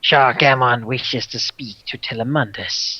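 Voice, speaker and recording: In a put-on character voice, the speaker whispers with a hissing sound at a moderate pace. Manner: hissing whisper.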